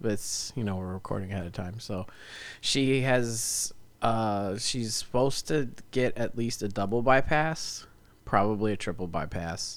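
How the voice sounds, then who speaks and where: A man's medium-pitched voice moves fairly slowly, with ordinary pitch variation. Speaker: podcast co-host. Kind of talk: casual chat. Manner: loud.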